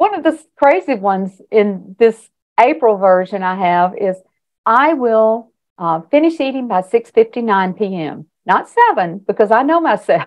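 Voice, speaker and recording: Her pitch fairly high and her intonation lively, a woman speaks at a fairly slow pace. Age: 60s. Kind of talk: interview answer.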